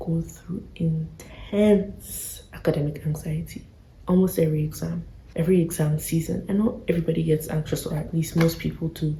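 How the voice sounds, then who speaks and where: A woman whispers at a moderate pace, somewhat breathy. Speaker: vlogger. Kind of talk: casual chat. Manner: whispering.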